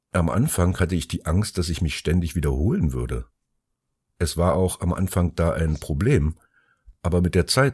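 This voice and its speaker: A man speaks with a very deep, low pitch and vocal fry, at a moderate pace. His pitch varies in an ordinary way, on a very clean recording with a silent background. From Germany, Taunus near Frankfurt. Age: 50s. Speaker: artist. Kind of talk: monologue. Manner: loud.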